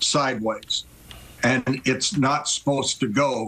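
Light background noise sits under a man's voice. He talks at a very slow pace with fairly even intonation. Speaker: remote guest. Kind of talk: interview answer, storytelling. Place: home room. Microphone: video call.

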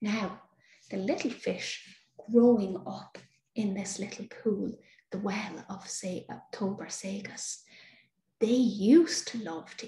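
A woman with an Irish accent speaks at a very slow pace and a fairly high pitch, somewhat breathy, in a dark, mellow, soothing and gentle tone. Audible room echo surrounds her voice. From Ireland. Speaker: storyteller. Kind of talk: fairy-tale storytelling, bedtime story. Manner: soothing, slow, gentle, warm. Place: home room. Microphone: webcam.

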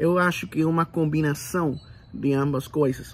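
A man speaks with a Puerto Rican accent. His intonation stays fairly even. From Puerto Rico. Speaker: channel host. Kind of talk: solo video monologue. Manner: halting, many fillers. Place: home room. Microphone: phone near.

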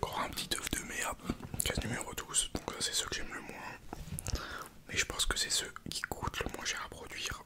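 Whispering, a man speaks at a fairly quick pace. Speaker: content creator. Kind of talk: casual vlog chat. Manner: soft close-mic ASMR speech. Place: home room. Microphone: studio mic.

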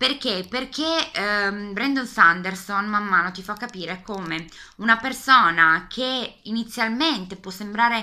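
With a Piedmontese accent, a woman speaks at a very slow pace, her bright, sharp tone carrying lively intonation. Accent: Piedmontese Italian. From Piedmont, northern Italy. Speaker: book youtuber. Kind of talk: casual video book tag. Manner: hesitant, many fillers. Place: home room. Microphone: webcam.

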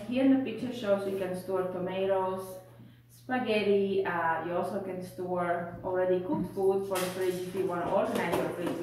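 A woman talks with noticeable background noise and audible room echo around her. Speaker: home haul vlogger. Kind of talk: casual vlog chat. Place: home room. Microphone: camera far.

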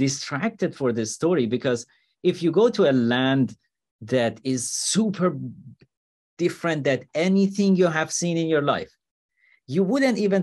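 A man speaks with very wide swings in pitch. The background is quiet. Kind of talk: interview answer. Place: home room. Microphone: video call.

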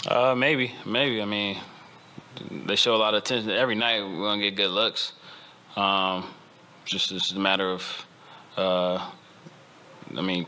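The pace is moderate, broken by long, frequent pauses. Intonation stays fairly even. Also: man, fairly low pitch for a man. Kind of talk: interview answer. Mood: content after a win. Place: meeting room. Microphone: podium.

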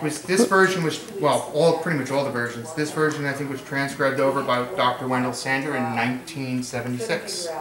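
A man talks with hardly any pauses. There is noticeable background noise. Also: ordinary pitch variation, moderate pace. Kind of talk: demonstration explanation. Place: home room. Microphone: camera far.

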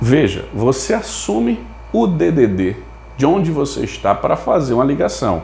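A man at a fairly slow pace, very even in loudness, with audible room echo and light background noise. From Brazil. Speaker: telecom management consultant. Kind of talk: tutorial. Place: home room. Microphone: lapel.

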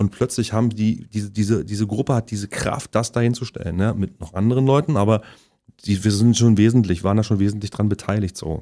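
A man speaks at a very fast pace with a fairly low pitch and a dark, mellow tone. The background is quiet. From Halle (Saale), Saxony-Anhalt, Germany; Saxony-Anhalt, Germany. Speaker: actor and musician; guest, actor. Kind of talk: casual interview chat. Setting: studio. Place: studio.

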